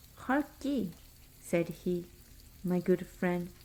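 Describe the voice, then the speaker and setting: Soft-spoken, a woman talks at a medium pitch with a dark, mellow tone and ordinary pitch variation. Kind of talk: bedtime story reading.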